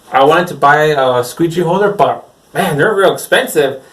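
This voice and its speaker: Speaking at a moderate pace, a man is heard in audible room echo. Noticeable background noise runs underneath. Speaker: screen printer. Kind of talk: casual vlog talk. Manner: rambling, unscripted.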